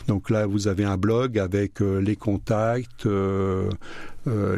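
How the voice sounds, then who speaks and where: Dark and mellow in tone, a man's voice moves at a very slow pace. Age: 70s. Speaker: association president. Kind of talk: radio interview. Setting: studio.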